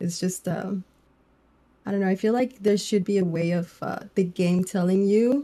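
A woman speaks fairly slowly at a medium pitch, her tone dark and mellow and somewhat breathy. Her intonation stays fairly even. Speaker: gaming streamer. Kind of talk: casual chat.

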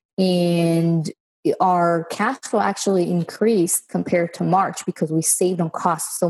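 Against a quiet background, a woman with a fairly low, somewhat breathy voice speaks at a moderate pace with very even loudness and fairly even intonation, in a dry, close sound with no echo. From Israel. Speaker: real estate investor. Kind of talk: interview.

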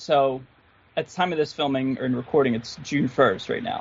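Enthusiastic and relaxed in tone, a man with a Philadelphia accent speaks at a fairly high pitch with ordinary pitch variation. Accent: Philadelphia-area American. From Philadelphia area, US. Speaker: guitarist YouTuber. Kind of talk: casual podcast interview. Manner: slow, stumbles on words; enthusiastic, relaxed.

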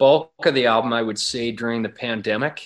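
The speaker has a Canadian Prairie accent. The background is quiet. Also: man. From Alberta prairies, Canada. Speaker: country singer. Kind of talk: interview.

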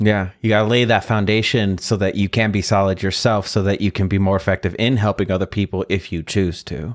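Over a silent background in a very clean recording, a man with an American accent and an unremarkable speaking voice talks fairly quickly at a fairly low pitch with hardly any pauses and fairly even intonation. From US Midwest. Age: 40s. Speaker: podcast host. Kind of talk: interview.

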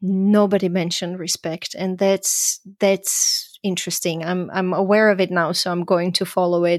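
A woman speaks fairly slowly in a Croatian accent, at medium pitch. The sound is dry and close, with no echo. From Croatia (Zagreb), then Vienna, Austria. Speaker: podcast host. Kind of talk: casual interview. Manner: laughs often, animated.

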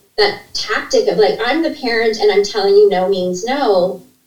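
A woman speaks with a Canadian accent and ordinary pitch variation. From Canada (Ontario). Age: 50s. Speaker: registered nurse and leadership coach. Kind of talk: interview conversation. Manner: talkative, fast-flowing.

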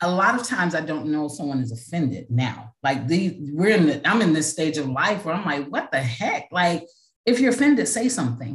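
A woman with a very deep, low pitch talks in an animated, somewhat breathy tone at a fairly quick pace, with very wide pitch swings. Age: 50s. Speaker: podcast host and life coach, pastor. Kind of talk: casual interview as guest in hot seat; podcast monologue.

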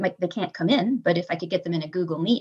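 A normal speaking voice from a woman in an American accent, medium in pitch with ordinary variation, at a fairly quick pace. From Michigan, Kalamazoo. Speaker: elementary school teacher. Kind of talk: casual interview chat.

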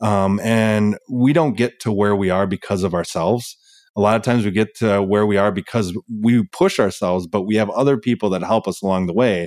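A man with a plain, everyday voice, fairly low-pitched and fairly quick, with ordinary pitch variation and very even loudness, on a very clean recording with a silent background and a dry, close sound with no echo. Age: 40s. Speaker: firefighter and endurance athlete. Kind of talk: interview.

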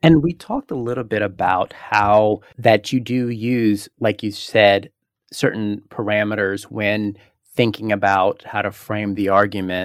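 A man's unremarkable speaking voice, fairly low-pitched, at a fairly slow pace with fairly even intonation, in a dry, close sound with no echo. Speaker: podcast host. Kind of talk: interview, host questions.

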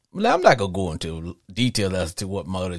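The tone is animated. The pace is very fast. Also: man. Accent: Louisiana. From US South (Louisiana/Arkansas). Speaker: podcast host. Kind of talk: live call-in sports talk show. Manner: animated, jokey, laughs often.

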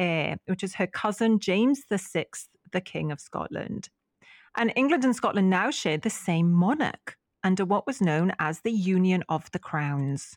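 A woman with a Welsh accent speaks at a moderate pace and medium pitch, with lively intonation. The sound is dry and close with no echo, against a quiet background. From Wales. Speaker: podcast co-host. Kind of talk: casual chat.

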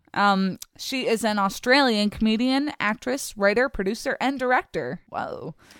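Speaking in a Philadelphia accent at a moderate pace, a woman with a fairly high pitch and ordinary pitch variation barely pauses, her sound dry and close with no echo on a very clean recording with a silent background. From US, Philadelphia. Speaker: podcast co-host. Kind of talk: casual chat. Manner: animated.

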